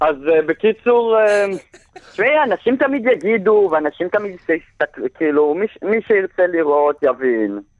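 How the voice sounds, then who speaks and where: The pitch swings very widely while the loudness stays very even. The pace is fairly slow. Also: man, high pitch for a man. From immigrant to Israel. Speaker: poet. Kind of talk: casual interview.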